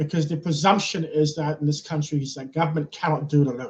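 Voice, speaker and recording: A man talks at a fairly quick pace in a fairly high, somewhat breathy voice with monotone, flat intonation. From London, England. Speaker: nonprofit CEO. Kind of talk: interview.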